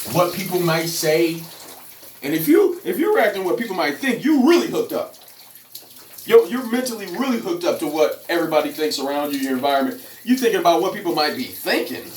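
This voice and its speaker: A man with a high-pitched voice, very fast delivery, lively intonation and an animated tone, over noticeable background noise. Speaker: fitness and off-grid vlogger. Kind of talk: casual vlog monologue.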